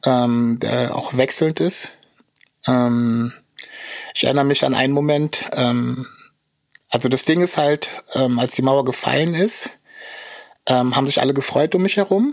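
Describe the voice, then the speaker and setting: Speaking at a fairly slow pace, a man with a medium pitch keeps his loudness very even, uses ordinary pitch variation, and leaves long, frequent pauses. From Berlin. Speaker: battle rapper. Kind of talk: interview.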